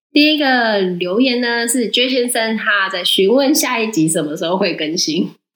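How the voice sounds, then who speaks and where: A woman with a plain, everyday voice talks at a moderate pace in a fairly high pitch, her intonation lively and her speech hardly pausing. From Taiwan. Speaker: podcast co-host. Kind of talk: casual chat.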